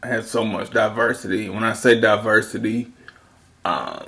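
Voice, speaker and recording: This man has a Southern accent and a medium pitch. He speaks at a fairly slow pace. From US South. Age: 30s. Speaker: video commentator. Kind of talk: casual monologue commentary. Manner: rambling, casual.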